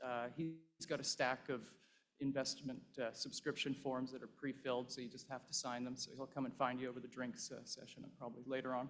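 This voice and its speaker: A man with a Canadian accent and an unremarkable speaking voice talks at a fairly quick pace, medium in pitch, with fairly even intonation. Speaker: investment fund partner. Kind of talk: conference speech. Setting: stage with audience.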